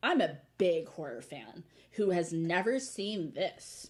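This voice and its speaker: In a put-on character voice, a female-sounding speaker goes at a fairly slow pace with a fairly low pitch. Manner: caricature, put-on.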